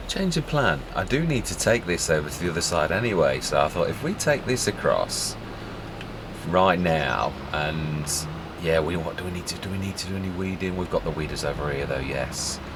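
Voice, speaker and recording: A man's very deep, low voice amid noticeable background noise and audible room echo. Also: lively intonation, moderate pace. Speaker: gaming video creator. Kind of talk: gameplay commentary. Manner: soft-spoken.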